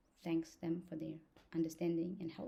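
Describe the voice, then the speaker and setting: A woman speaks with a non-native accent in a somewhat breathy voice. Her tone is dark and mellow. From outside the US, foreign-educated immigrant. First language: not English. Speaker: law student and vlogger. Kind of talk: casual vlog talk to camera. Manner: halting, with many fillers.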